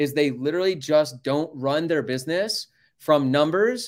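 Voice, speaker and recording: Here a man with an American accent talks at a fairly slow pace. He has a plain, everyday voice with fairly high pitch. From Colorado, US. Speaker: painting business owner and coach. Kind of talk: interview.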